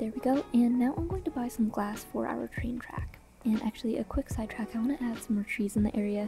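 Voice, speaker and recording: Speech races by at a very fast pace with music in the background. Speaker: gaming content creator. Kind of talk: gameplay commentary narration.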